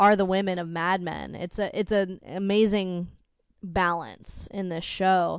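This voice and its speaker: A woman talks in a plain, everyday voice at a medium pitch with fairly even intonation. Her pace is fairly slow, and the background is quiet. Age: 20s. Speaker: podcast co-host, spouse. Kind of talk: casual chat.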